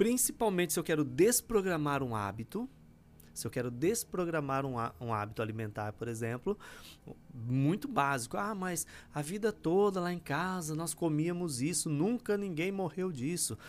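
A man's fairly high voice moves at a moderate pace, swinging very widely in pitch. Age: 40s. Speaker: spiritual teacher. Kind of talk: livestream talk.

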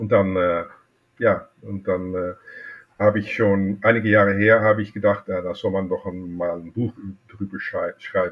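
Talking at a fairly slow pace, a man shows big swings in loudness. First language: Dutch (speaking German). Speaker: watchmaker and collector. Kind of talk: interview. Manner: halting.

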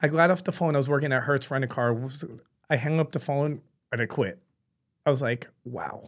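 A man with a New York accent, fairly high in pitch and fairly quick, broken by long, frequent pauses. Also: ordinary pitch variation. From New York City. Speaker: barber franchise founder. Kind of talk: casual podcast interview.

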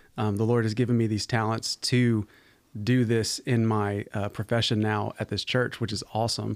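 Speaking with an American accent in a normal speaking voice, a man keeps a medium pitch, fairly even intonation and a moderate pace on a very clean recording with a silent background. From Arizona, US (also lived in Virginia). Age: young. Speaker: pastor of worship. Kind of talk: casual chat. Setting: studio.

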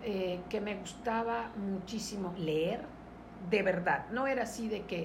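Noticeable background noise with audible room echo. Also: woman. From Mexico, Mérida, Yucatán. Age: 60s. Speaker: entrepreneur and business coach. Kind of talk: interview.

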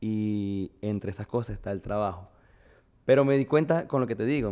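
A man's dark, mellow tone at a fairly low pitch, moderate pace and ordinary pitch variation. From Venezuela, Barquisimeto (Lara). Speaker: fitness coach. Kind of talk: casual interview.

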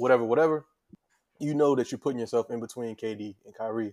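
Very fast and fairly even in intonation, a man's speech sits at a medium pitch. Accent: American. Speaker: podcast co-host. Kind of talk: casual banter podcast chat.

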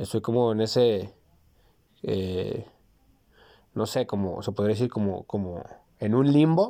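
A man's dark, mellow voice with a Mexican accent, ordinary pitch variation and a fairly slow pace, in a very clean recording with a silent background. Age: 30s. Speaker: podcast host, psychology student. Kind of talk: casual chat.

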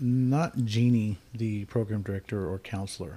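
Somewhat breathy and dark, mellow in tone, a man talks in a fairly low pitch with ordinary pitch variation, recorded very cleanly over a silent background. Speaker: podcast host in recovery. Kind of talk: casual podcast conversation.

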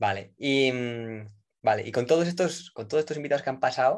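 With a Spanish accent, a man speaks at medium pitch against a quiet background. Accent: Peninsular Spanish. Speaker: podcast host, consultant. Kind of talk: interview. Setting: live online recording.

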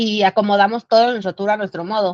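Speaking in a Mexican accent, a woman with a fairly high pitch keeps a moderate pace. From Mexico City. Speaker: traveler sharing trip experience. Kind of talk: casual chat.

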